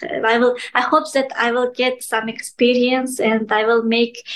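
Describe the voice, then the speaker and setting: Her voice is high-pitched, monotone and flat. The woman speaks at a fairly slow pace. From Kyrgyzstan. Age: 20s. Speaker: podcast guest, video creator. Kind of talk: interview. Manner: halting, many fillers.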